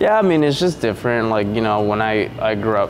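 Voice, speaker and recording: A man with a Spanish accent, fairly low in pitch and fairly quick, amid noticeable background noise and audible room echo. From Veracruz, Mexico. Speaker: diesel mechanic and real estate agent. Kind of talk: casual interview chat.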